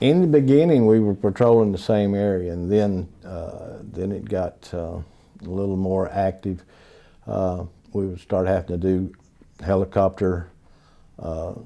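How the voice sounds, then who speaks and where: A man with a very deep, low pitch and a dark, mellow tone speaks in a Southern US accent at a fairly slow pace. His loudness swings widely, and he makes long, frequent pauses. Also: ordinary pitch variation. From North Carolina. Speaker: Vietnam War veteran. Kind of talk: oral history interview answer.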